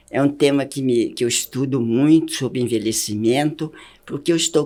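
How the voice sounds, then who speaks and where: A woman speaks with a dark, mellow tone. The pitch varies in an ordinary way. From Minas Gerais, Brazil. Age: 90s. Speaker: educator and speaker on longevity. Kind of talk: interview.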